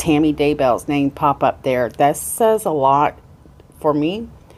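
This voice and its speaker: This woman talks fairly slowly in a very deep, low voice. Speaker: true crime news commentator. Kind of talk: unscripted news commentary. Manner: slightly stuttering, off the cuff.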